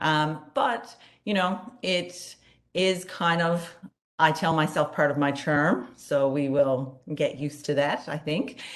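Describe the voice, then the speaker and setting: A woman speaks at a very slow pace with a very deep, low pitch. Room echo is audible. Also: ordinary pitch variation. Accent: Newfoundland. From Newfoundland. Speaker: psychology professor and conference co-chair. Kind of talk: conference opening remarks.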